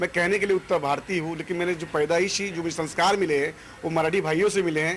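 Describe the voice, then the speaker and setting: With a Marathi accent, a man speaks at a high pitch. His intonation is monotone and flat, and noticeable background noise is present. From Mumbai, India (Konkan area, North Indian family). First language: Marathi (speaking Hindi). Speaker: local politician, student wing leader. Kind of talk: interview.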